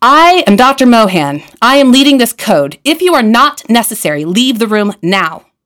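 This booming, put-on character voice moves at a moderate pace with very wide pitch swings. Its loudness stays very even throughout. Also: woman, fairly high pitch for a woman. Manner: authoritative, commanding.

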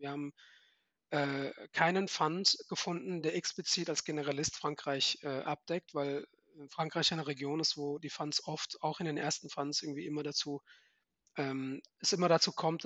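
A man speaks in a fairly high voice at a moderate pace. His intonation is monotone and flat. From Germany, Frankfurt. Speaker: venture capital fund manager. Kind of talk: interview.

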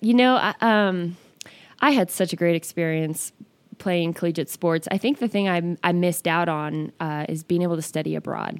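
A woman with an American accent has an unremarkable speaking voice, a fairly low pitch, ordinary pitch variation and a moderate pace. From Northern California. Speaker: fitness studio owner. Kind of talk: interview.

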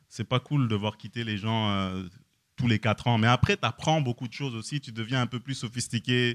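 A man speaks in a normal speaking voice at a medium pitch. The sound is dry and close with no echo, on a very clean recording with a silent background. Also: ordinary pitch variation, moderate pace. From France. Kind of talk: casual chat.

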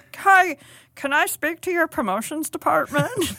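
A woman speaks in a put-on character voice with an extremely high pitch and a croaky sound. Her intonation is lively. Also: moderate pace. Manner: nervous.

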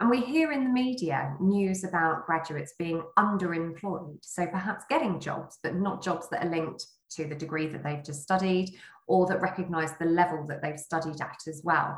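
A woman with a fairly low, somewhat breathy voice speaks at a moderate pace. Her pitch varies in an ordinary way. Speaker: interviewer. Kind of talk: interview conversation.

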